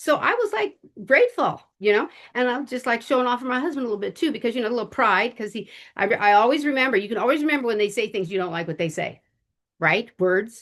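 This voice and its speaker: Against a quiet background, a fairly high-pitched woman speaks at a very fast pace. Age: 70s. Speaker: cosmetics sales director. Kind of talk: testimony. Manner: rambling, halting.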